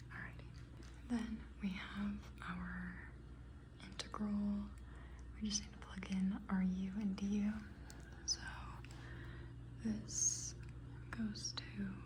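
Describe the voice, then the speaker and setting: Soft-spoken and very slow, the speech has long, frequent pauses amid noticeable background noise. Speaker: student. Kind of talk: ASMR study-with-me talk.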